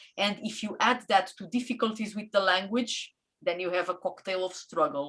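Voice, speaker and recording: A woman speaks with a Portuguese accent. Her pace is fairly quick. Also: medium pitch for a woman, ordinary pitch variation. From Portugal. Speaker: community member. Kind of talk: interview. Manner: halting.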